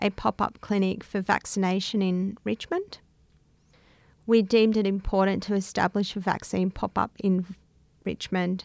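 Heard in a dry, close sound with no echo, a woman speaks at medium pitch with monotone, flat intonation. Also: very clean recording, silent background. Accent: Australian. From Melbourne, Australia (inner north, Greek Australian). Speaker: bicultural liaison officer.

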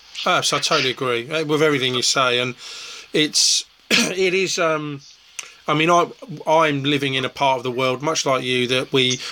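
Through noticeable background noise comes a man's voice at a fairly high pitch. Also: ordinary pitch variation, moderate pace. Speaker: festival interviewer. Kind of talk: casual interview. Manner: hesitant, filler-heavy.

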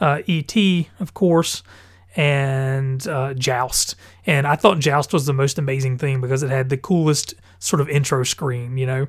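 Somewhat breathy and fairly high for a man, his voice moves at a fairly slow pace with ordinary pitch variation. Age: 30s. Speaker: gaming podcast host. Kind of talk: casual solo podcast monologue. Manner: hesitant, many fillers.

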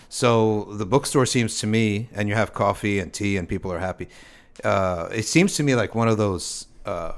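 In a very clean recording with a silent background, a man with an American accent uses a normal speaking voice, a fairly low pitch and ordinary pitch variation. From US East Coast. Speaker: podcast host. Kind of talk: casual chat.

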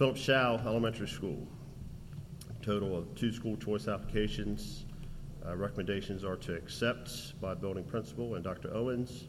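Vocal fry runs through a man's fairly low voice as he talks at a moderate pace with ordinary pitch variation. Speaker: school district administrator. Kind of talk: report presentation.

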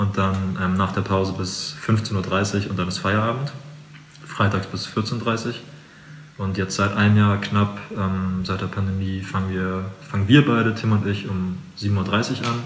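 A man's fairly low voice with fairly even intonation at a fairly slow pace, plus audible room echo and noticeable background noise. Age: 20s. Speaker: carpenter. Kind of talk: interview.

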